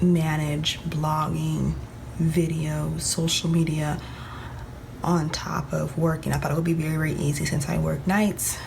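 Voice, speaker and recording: A woman speaks quietly at a moderate pace, with audible room echo and noticeable background noise. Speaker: planner vlogger. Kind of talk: casual vlog tutorial. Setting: at home, early morning. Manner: talking low, quiet; hesitant with many ums.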